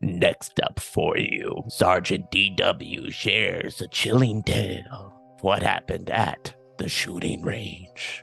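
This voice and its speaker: A man puts on a character voice that is raspy and fairly low in pitch. He speaks at a fairly slow pace, with faint music in the background. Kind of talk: radio storytelling narration. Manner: creepy, chilling.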